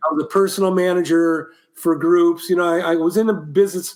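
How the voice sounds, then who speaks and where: Here a man with an American accent talks at a moderate pace. His pitch is high, with ordinary variation. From Ohio, Columbus. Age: 60s. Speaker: musician and former band production manager. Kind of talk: casual interview chat.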